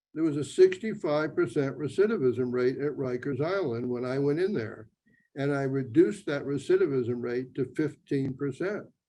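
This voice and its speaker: A man speaks at a moderate pace with an American accent. His voice is fairly high-pitched, with a dark, mellow tone. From western Pennsylvania. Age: 80s+. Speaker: author and non-profit founder. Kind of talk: Q&A talk.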